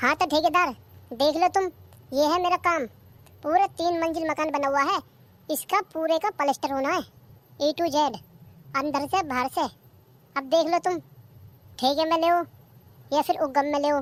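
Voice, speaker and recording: Doing a cartoonish character voice, a woman speaks high-pitched at a fairly quick pace with fairly even intonation and long, frequent pauses. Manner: plain and businesslike.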